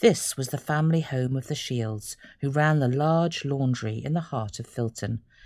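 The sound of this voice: Pitch moves in an ordinary way through a reading voice that sounds unforced.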